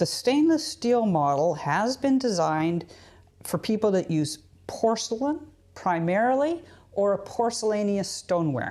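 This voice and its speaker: With a Canadian accent, this voice has a dark, mellow tone, a moderate pace and very wide pitch swings. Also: woman. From Canada. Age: 60s. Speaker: potter. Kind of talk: tutorial. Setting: pottery studio. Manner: casual, conversational with fillers.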